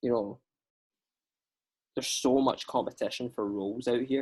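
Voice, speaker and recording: With a Scottish accent, a man speaks at a medium pitch and a moderate pace. His intonation stays fairly even. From Scotland. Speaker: actor. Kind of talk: casual chat.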